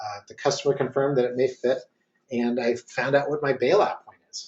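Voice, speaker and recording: Here a man talks at a fairly quick pace in a somewhat breathy voice. His pitch sits in the medium range with ordinary variation. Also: big swings in loudness. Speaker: marketing consultant. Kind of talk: webinar presentation. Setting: online webinar. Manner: fast; hesitant, many fillers.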